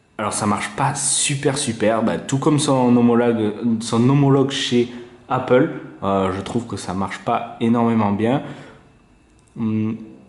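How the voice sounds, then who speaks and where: Noticeable background noise and audible room echo fill the recording. A man speaks at medium pitch and a fairly slow pace, with long, frequent pauses. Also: ordinary pitch variation. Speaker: tech reviewer. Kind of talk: product review tutorial. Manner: casual, hesitant with fillers.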